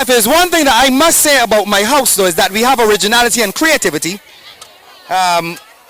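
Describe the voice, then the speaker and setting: The voice is loud and animated at a fairly quick pace. Crowd noise runs in the background. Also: man. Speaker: sports day commentator; teacher. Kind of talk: live commentary.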